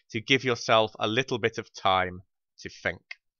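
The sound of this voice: A man's bright, sharp tone comes through with a dry, close sound and no echo.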